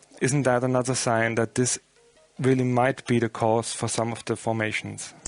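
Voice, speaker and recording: The speaker is a man with an Austrian accent. His intonation is monotone and flat. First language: German. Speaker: radio interviewer. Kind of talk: interview. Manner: halting.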